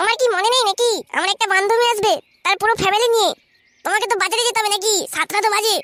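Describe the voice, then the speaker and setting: In a cartoonish character voice, a woman talks at a very fast pace with an extremely high pitch, fairly even intonation and very even loudness, the sound dry and close with no echo. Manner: shrill, scolding.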